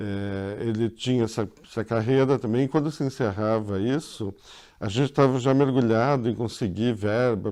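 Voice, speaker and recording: With a dark, mellow tone and lively intonation, a man speaks at a moderate pace against a quiet background. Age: 60s. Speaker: filmmaker and film professor. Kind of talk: interview.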